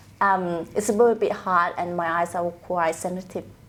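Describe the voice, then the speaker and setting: A woman with a Vietnamese accent speaks at a moderate pace. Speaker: trust accountant. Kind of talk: casual interview.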